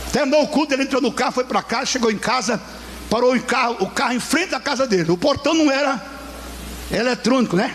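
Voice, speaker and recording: A man's extremely high, animated voice at a fairly quick pace, with noticeable background noise. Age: 70s. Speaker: pastor. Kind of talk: sermon. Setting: church.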